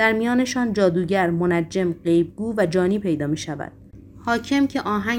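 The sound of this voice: Pitch moving in an ordinary way through an unforced reading voice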